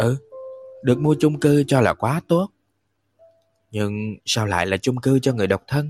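A man's medium-pitched voice with lively intonation at a fairly slow pace, long, frequent pauses, dry and close with no echo, and music in the background. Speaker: podcast host reading audiobooks. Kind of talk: live audiobook reading with chat. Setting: livestream. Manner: animated.

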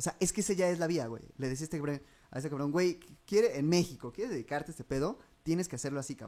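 Talking at a very fast pace, a man uses a dark, mellow tone at a fairly high pitch with ordinary variation. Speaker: podcast host. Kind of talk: casual chat.

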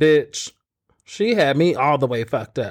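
A man with a fairly high pitch speaks in an animated tone. The recording is very clean, with a silent background. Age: 30s. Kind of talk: casual chat, comedic banter. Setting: live video stream. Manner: loud, animated.

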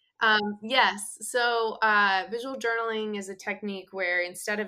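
A woman's bright, sharp tone. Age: 30s. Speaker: art therapist. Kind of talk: casual chat.

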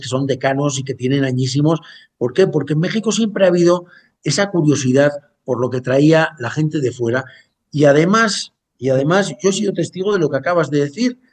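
A man with a fairly high voice speaks at a fairly quick pace with ordinary pitch variation. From Basque Country, Spain. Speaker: chef. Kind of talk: interview. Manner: halting, many fillers.

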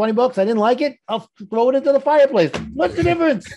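Speaking fast with lively intonation, a man uses an extremely high pitch and a slightly mellow tone.

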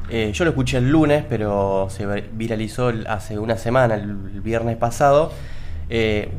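Against noticeable background noise and audible room echo, a man talks at a fairly slow pace with lively intonation. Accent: Rioplatense. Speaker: radio host. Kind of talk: casual chat. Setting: studio.

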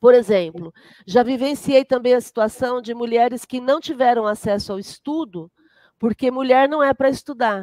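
A woman speaks at a moderate pace in a high pitch, her tone dark and mellow, with a dry, close sound and no echo. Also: ordinary pitch variation. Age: 50s. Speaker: spiritist centre leader and therapist. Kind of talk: casual interview.

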